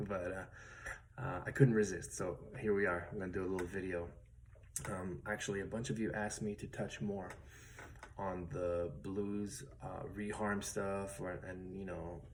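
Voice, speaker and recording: Soft-spoken and with a very deep, low voice, this man talks at a moderate pace with fairly even intonation and audible room echo. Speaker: guitar teacher. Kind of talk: tutorial. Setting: at home, late at night. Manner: soft-spoken, quiet late at night; casual with many fillers.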